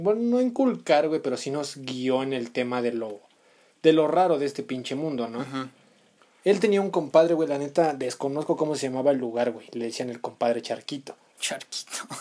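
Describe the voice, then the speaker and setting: With a dark, mellow tone, a man speaks at a moderate pace. His pitch is fairly high, and his intonation is lively. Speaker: podcast co-host. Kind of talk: casual chat.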